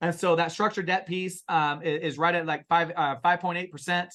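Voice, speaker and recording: Against a quiet background, a man talks loudly at a very fast pace with a high pitch, a bright, sharp, animated tone, and ordinary pitch variation. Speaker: real estate investment partner. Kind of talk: investor webinar Q&A. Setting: webinar.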